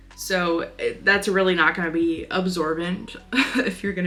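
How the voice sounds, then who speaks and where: Music plays in the background. Over it, a woman speaks in an animated tone. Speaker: crochet content creator. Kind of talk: casual vlog talk-through. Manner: animated, chatty.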